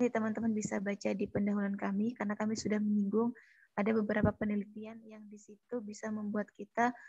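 A woman speaks at a fairly quick pace in a fairly high pitch, somewhat breathy with a monotone, flat intonation. The sound is dry with no echo, and the background is quiet. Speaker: student moderator. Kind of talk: class presentation. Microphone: too quiet at first; video call.

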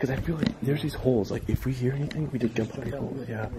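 A man talks at a very fast pace against loud background noise. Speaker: urban explorer vlogger. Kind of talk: casual vlog chat. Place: classroom. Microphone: phone near.

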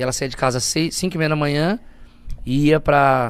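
A man is speaking. His pitch is fairly high for a man. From Brazil, poor urban outskirts. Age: 30s. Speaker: guest. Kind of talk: casual interview, personal testimony. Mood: emotional, earnest storytelling. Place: studio. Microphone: studio mic.

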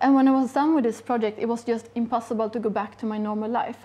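Her intonation stays fairly even as the woman speaks. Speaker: guest. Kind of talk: interview answer. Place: shop. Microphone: lapel.

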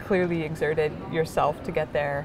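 Noticeable background noise surrounds a woman speaking at a fairly low pitch. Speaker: interviewee. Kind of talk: interview answer. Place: hall.

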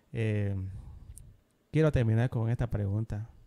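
A dark, mellow tone colors this man's speech. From Bolivia. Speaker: podcast host. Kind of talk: interview. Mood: friendly, calm. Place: studio. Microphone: studio mic.

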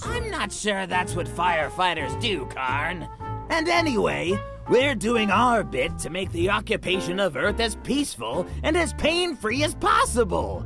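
A put-on character voice at a moderate pace over loud music in the background. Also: man.

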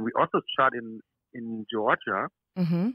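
A man with a German accent, medium-pitched, at a fairly slow pace. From southern Austria. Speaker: actor. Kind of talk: interview. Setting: phone call from hotel room.

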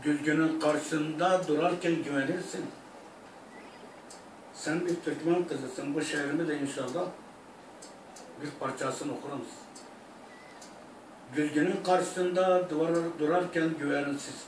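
With an Iraqi accent, a man speaks fairly slowly with fairly even intonation and long, frequent pauses, amid light background noise and audible room echo. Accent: Iraqi Turkmen Turkish. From Iraq (Turkmen). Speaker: singer. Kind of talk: interview answer. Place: home room. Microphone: camera far.

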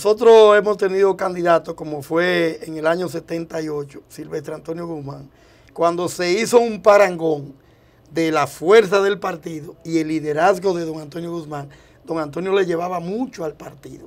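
This man's voice sits high in pitch, moving at a moderate pace with ordinary pitch variation and big swings in loudness. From Dominican Republic, Santo Domingo; Dominican Republic. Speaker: presidential hopeful politician. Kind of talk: TV interview. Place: studio. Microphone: lapel.

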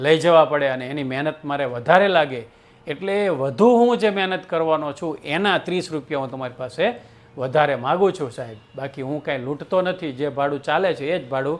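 This is a man with an unremarkable speaking voice. His pitch is fairly high, with ordinary pitch variation. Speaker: storyteller. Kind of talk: storytelling narration.

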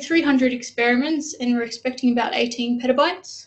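A woman speaks in a high pitch at a moderate pace. Her pitch varies in an ordinary way. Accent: Australian. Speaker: data specialist. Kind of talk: presentation. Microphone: video call.

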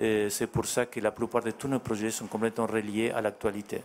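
Over light background noise, a man at medium pitch talks at a moderate pace in a monotone, flat intonation. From Argentina. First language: Spanish (speaking French). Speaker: artist; guest. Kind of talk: interview. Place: hall. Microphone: handheld.

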